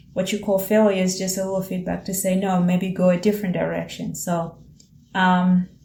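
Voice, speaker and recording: With an East African accent, the voice is dark, mellow and somewhat breathy, delivered in a flat monotone at a moderate pace. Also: woman, medium pitch for a woman. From Tanzania. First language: Swahili. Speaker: vlogger and small business owner. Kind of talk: reflective monologue. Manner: casual, with repetitions and fillers.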